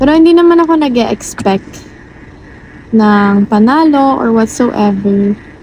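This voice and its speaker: Lively intonation marks this fairly slow delivery, heard over noticeable background noise. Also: woman, fairly high pitch for a woman. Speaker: racer and vlogger. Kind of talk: vlog. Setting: in a car. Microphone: no external mic, voice quiet.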